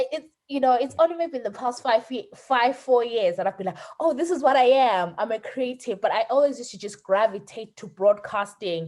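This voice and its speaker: A woman's high-pitched voice at a fairly quick pace, lively in intonation, with big swings in loudness and hardly any pauses. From Zimbabwe. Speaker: podcaster. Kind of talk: casual interview chat. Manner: hesitant, repeats words.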